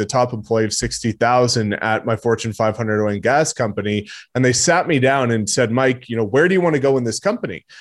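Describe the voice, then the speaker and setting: A man talks at a very fast pace with a Canadian accent. His pitch is medium. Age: 20s. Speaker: real estate agent. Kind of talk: podcast interview. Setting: video call.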